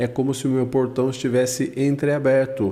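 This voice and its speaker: A soft-spoken man with a dark, mellow tone, medium pitch and a moderate pace. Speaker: audio engineer teaching a mixer course. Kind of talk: tutorial. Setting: studio, live stream. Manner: speaks very softly in parts to demo the gate.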